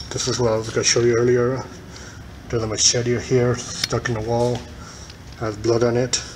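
Noticeable background noise behind a moderately paced voice. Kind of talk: casual vlog commentary. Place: hall. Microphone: phone near.

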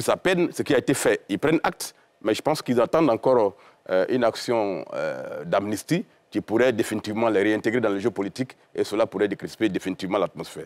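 Delivered at a very fast pace, the speech carries lively intonation. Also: man, medium pitch for a man. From Côte d'Ivoire. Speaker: journalist and politician; guest, politician-journalist. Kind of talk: televised panel debate. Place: studio. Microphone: lapel.

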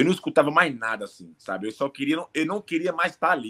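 A man speaks in a bright, sharp tone. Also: quiet background. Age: 30s. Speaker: MMA fighter; remote interviewee. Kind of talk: interview; interview answer. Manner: halting. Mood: reflective, regretful. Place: home room. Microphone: earbuds.

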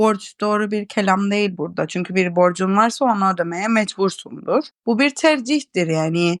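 A woman's medium-pitched voice with a Cypriot accent, at a moderate pace with ordinary pitch variation, in a dry, close sound with no echo. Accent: Cypriot Turkish. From Nicosia, Cyprus. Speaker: art teacher and painter. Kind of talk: casual interview chat.

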